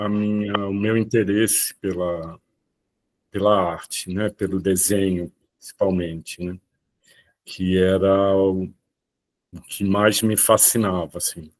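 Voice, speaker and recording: Speaking at a very slow pace, a man talks with a fairly low pitch. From Brazil, Rio de Janeiro and Olinda. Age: 60s. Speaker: visual artist. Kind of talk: talk on own career.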